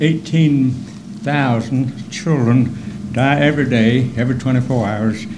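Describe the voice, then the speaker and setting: A man's medium-pitched voice at a fairly slow pace, with ordinary pitch variation, audible room echo and noticeable background noise. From Korea (grew up as child of missionaries). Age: 80s+. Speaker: honored community volunteer, master gardener. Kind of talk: acceptance speech. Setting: town hall meeting at podium. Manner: halting.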